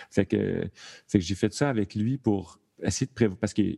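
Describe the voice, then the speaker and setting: With a Quebec accent, a man speaks at a moderate pace in a fairly low pitch, his dark, mellow tone carrying fairly even intonation against a quiet background. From Quebec, Thetford Mines. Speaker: sound designer and stage manager. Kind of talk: casual chat. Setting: video call.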